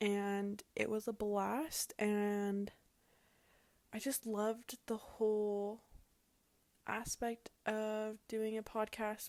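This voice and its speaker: Here a woman talks with a western US accent. Her pitch is fairly high. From Utah. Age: 20s. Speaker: podcast host. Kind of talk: casual solo podcast talk. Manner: animated.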